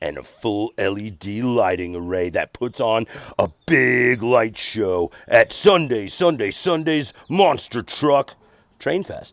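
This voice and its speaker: At a fairly slow pace, a man performs a put-on character voice at a medium pitch. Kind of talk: voiceover announcer. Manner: booming, hyped, salesy.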